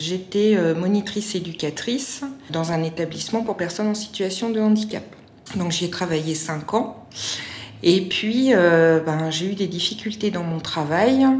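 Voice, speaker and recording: A woman's medium-pitched voice at a fairly slow pace with ordinary pitch variation, plus noticeable background noise and audible room echo. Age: 40s. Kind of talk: testimony. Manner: halting, many hesitations.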